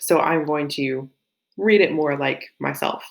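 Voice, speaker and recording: A woman's very deep, low voice with a slight Southern US accent and vocal fry. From US South. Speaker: teacher. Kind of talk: lecture.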